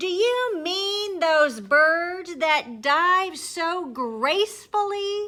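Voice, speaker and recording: Using a put-on character voice, a woman speaks in a cheerful, playful tone with a raised, projected voice at extremely high pitch, very slowly and with hardly any pauses. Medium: read story. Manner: loud, cheerful, playful.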